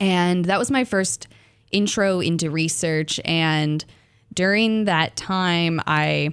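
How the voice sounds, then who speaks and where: A woman with an American accent and a normal speaking voice, medium in pitch with ordinary pitch variation, on a very clean recording with a silent background. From Arkansas, US South. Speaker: graduate student researcher. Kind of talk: radio interview. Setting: radio studio.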